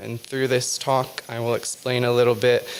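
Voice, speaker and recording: Noticeable background noise surrounds a soft-spoken voice. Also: man. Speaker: author and witch giving a talk. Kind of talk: lecture. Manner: halting, many fillers.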